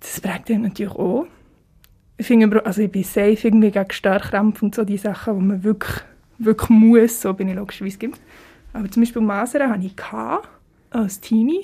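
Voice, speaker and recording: A woman's fairly high, somewhat breathy voice with a dark, mellow tone, fairly quick pace, fairly even intonation and long, frequent pauses. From Switzerland, Biel (Seeland). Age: 20s. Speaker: singer-songwriter, music student. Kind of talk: casual interview.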